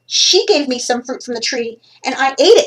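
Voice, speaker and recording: Putting on a character voice, a woman speaks high for a woman with lively intonation. Her pace is moderate. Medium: read story.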